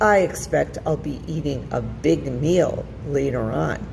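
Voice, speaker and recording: The speaker uses a put-on character voice at a fairly slow pace. Loud background noise runs throughout. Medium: read story. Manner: smooth, flattering.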